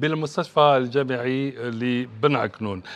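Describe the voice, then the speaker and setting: His pitch moves by an ordinary amount. A man is talking. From Algeria. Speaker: TV health show host. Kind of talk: TV talk show with phone-in. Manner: formal. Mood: warm, welcoming. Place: studio. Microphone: lapel.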